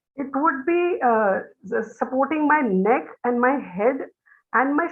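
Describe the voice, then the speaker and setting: A woman's high-pitched voice, lively in intonation, at a fairly slow pace. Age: 60s. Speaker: teacher, quiz participant. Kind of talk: casual quiz answer.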